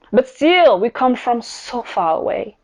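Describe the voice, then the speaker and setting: The voice moves through very wide pitch swings. Its pace is fairly slow. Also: woman. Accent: French. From France, Paris. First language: French. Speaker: podcast host, business coach. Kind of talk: podcast monologue.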